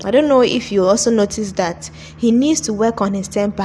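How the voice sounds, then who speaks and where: A woman at medium pitch with ordinary pitch variation, moderate pace, and noticeable background noise. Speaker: movie reviewer. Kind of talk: video review commentary. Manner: animated.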